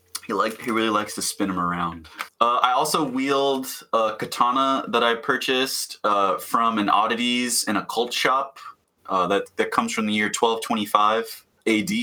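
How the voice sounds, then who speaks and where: Speaking at a moderate pace, a man uses a bright, sharp tone at medium pitch with ordinary pitch variation. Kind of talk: casual chat.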